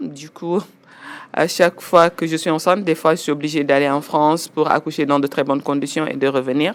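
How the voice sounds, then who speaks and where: This woman has a very deep, low pitch and keeps her intonation fairly even. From Senegal (Louga, Dakar). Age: 40s. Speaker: finance professional. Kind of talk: interview testimony.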